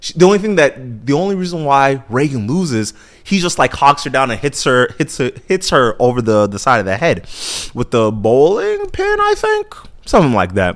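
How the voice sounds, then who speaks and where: A man's voice sits fairly high and has an animated tone. His pitch swings very widely. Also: moderate pace. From Nigeria. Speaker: podcast host. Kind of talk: casual chat. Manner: animated, halting with many repetitions.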